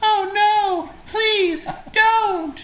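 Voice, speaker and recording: Here is a put-on character voice. Its pitch is extremely high. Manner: pleading, worried.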